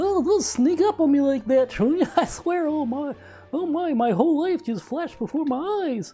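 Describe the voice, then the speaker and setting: A put-on character voice, high-pitched, at a moderate pace with music in the background. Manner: startled, exaggerated.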